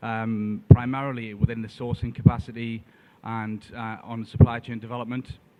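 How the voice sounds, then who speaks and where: A man speaks at a moderate pace with a northern English accent, his medium-pitched voice flat and monotone. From northern England, Tyneside. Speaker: trade adviser. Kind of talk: conference presentation. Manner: hesitant, many fillers.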